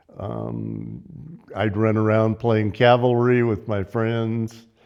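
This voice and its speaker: With a Southwest US accent, a man speaks at a very slow pace in a fairly low pitch. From southern Arizona. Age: 80s+. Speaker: local elder recalling childhood. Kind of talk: oral history interview. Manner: halting, many fillers and restarts.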